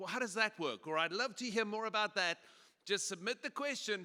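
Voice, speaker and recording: A man with a South African accent uses a raised, projected voice, high in pitch and bright and sharp in tone, in a dry, close recording with no echo. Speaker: pastor and conference speaker. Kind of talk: conference presentation. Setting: stage with audience. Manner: casual and humorous.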